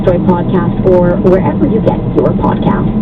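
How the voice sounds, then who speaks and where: A woman speaks fairly quickly at a medium pitch, with noticeable background noise around her. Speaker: radio news anchor. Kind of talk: radio news read.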